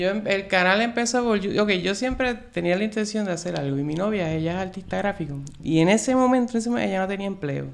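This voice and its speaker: Over noticeable background noise, a man speaks at a very fast pace with hardly any pauses. His pitch is high, with ordinary pitch variation. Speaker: YouTube film reviewer. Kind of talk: casual interview.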